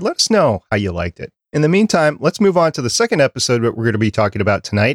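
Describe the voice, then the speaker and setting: A man speaks very fast in an American accent, his voice fairly high. The recording is very clean with a silent background and a dry, close sound with no echo. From Minnesota. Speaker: podcast producer and co-host. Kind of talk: casual chat. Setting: studio, livestreamed.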